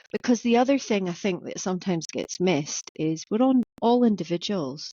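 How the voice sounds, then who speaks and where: At a fairly quick pace, a woman talks with lively intonation. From Orkney, Scotland. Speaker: business coach and entrepreneur. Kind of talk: podcast interview. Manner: conversational, some repetitions.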